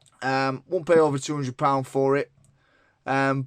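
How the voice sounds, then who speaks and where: In a dry, close sound with no echo and a quiet background, a man speaks at medium pitch with a Lancashire accent. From northern England, Lancashire. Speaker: tech reviewer. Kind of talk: product review. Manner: casual, many fillers.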